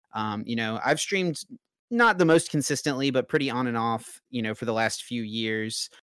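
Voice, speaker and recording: A plain, everyday voice with an American accent, moderate pace and ordinary pitch variation, in a very clean recording with a silent background. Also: man, medium pitch for a man. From North Carolina. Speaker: card game player and streamer. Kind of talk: casual chat.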